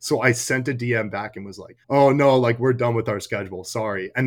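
An unremarkable speaking voice from a man, medium in pitch, fairly quick, with fairly even intonation. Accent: American. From North Carolina. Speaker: college hockey player. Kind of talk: interview.

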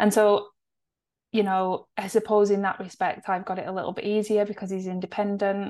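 A woman with a northwest English accent, medium in pitch, fairly quick, in a monotone, flat delivery over a quiet background. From northwest England. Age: 40s. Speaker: nutritionist and podcast co-host. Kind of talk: casual chat.

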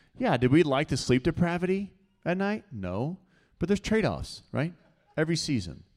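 This man has a normal speaking voice, talking at a fairly quick pace in a fairly high pitch with lively intonation. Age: 30s. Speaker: pastor. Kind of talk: sermon. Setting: church.

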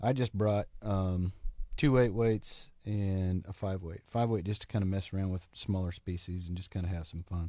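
A man's very deep, low voice with a dark, mellow tone, fairly even intonation and a moderate pace, on a very clean recording with a silent background. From Oklahoma. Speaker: fly fishing angler. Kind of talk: casual chat.

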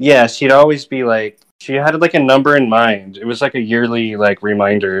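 A man speaks at a moderate pace with hardly any pauses, in an unremarkable speaking voice. The sound is dry and close, with no echo. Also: medium pitch for a man, ordinary pitch variation. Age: 30s. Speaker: divorced coworker guest. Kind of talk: casual chat.

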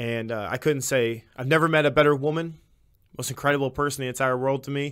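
At a very fast pace, a man with an American accent speaks fairly high in pitch with fairly even intonation, in a very clean recording with a silent background. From Illinois. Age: 20s. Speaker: podcast host. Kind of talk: testimony.

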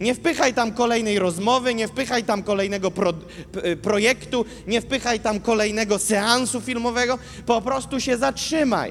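A man speaks in an animated tone at an extremely high pitch, with ordinary pitch variation and very even loudness. His moderate pace comes over noticeable background noise. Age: 20s. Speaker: preacher. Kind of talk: sermon.

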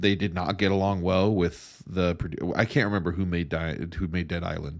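The recording is very clean with a silent background. The intonation stays fairly even. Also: man. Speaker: video game podcast co-host. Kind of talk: casual chat. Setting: studio.

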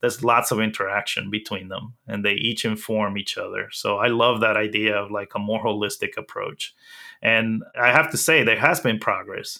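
A man with a Spanish accent speaks at a medium pitch with ordinary pitch variation. His tone is bright and sharp, and the recording is very clean with a silent background. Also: moderate pace. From Dominican Republic, then New York City from age eleven. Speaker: accessibility specialist. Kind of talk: interview.

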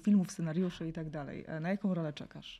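A woman speaks at a very fast pace in a dark, mellow, somewhat breathy voice. Her pitch is fairly low with ordinary variation. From Poland, small town. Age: 40s. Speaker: journalist and podcast host. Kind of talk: interview.

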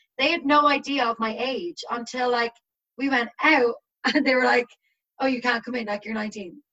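In an Irish accent, a woman speaks with a high pitch and a bright, sharp tone. Her intonation stays fairly even. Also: moderate pace. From Ireland. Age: 20s. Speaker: teacher. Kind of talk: casual chat. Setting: video call.

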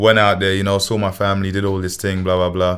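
This man has a London accent. His pitch is fairly low. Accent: London Multicultural English. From England. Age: 20s. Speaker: musician. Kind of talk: casual chat.

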